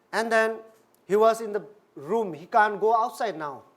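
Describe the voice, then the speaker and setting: A man is speaking. He has a non-native accent. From India. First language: not English. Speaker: Buddhist minister. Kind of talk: dharma talk.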